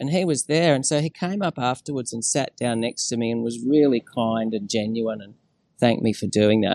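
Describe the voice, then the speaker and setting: A man with an Australian accent talks at a moderate pace with ordinary pitch variation, with a dry, close sound, no echo and a quiet background. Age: 50s. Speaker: climate activist and former diplomat. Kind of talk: interview.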